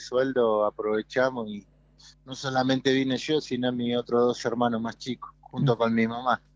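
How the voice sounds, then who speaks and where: A man with a Rioplatense accent speaks fairly slowly at medium pitch. His intonation is flat and monotone, and the sound is dry and close with no echo. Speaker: former footballer and coach. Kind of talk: radio interview.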